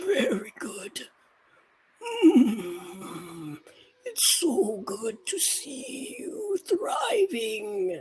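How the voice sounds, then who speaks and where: A put-on character voice, raspy and fairly high in pitch, speaks at a very slow pace. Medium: actual play. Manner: warm, gentle.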